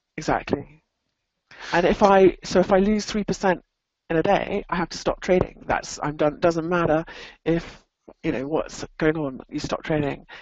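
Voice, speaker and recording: A woman with an English accent, fairly low in pitch, at a moderate pace with ordinary pitch variation. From England. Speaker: professional trader. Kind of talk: interview. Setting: online webinar.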